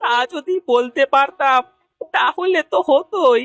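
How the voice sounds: Dry and close with no echo, a cartoonish character voice with a fairly bright tone moves at a fairly slow pace with ordinary pitch variation. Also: man, extremely high pitch for a man.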